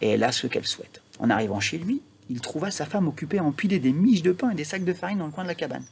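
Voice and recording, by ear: The voice has vocal fry and a slightly husky edge, moving at a fast pace with lively intonation. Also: man, fairly high pitch for a man.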